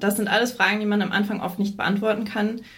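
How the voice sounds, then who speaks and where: A woman's somewhat breathy, medium-pitched voice, with audible room echo. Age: 30s. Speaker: freelance journalist. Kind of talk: interview.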